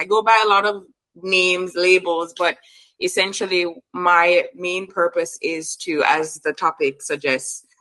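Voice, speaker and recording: A woman speaks with a fairly low pitch and a bright, sharp tone. Her intonation stays fairly even. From Jamaica. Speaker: hypnotherapist. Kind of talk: casual chat.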